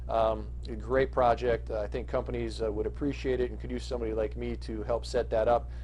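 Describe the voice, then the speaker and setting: A man's very deep, low, somewhat breathy voice with a dark, mellow tone, monotone and flat, at a fairly quick pace with hardly any pauses, plus audible room echo. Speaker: marketing consultant. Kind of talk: business pitch monologue. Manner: fast; halting with many fillers.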